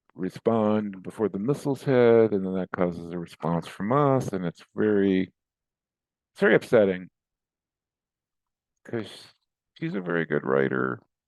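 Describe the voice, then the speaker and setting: Over a quiet background, a man with a very deep, low voice speaks at a moderate pace with lively intonation, big swings in loudness, and long, frequent pauses. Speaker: podcaster, lay expert on the nuclear era. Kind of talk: off-the-cuff book review podcast. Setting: home microphone, lower quality. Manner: hesitant, casual, with fillers.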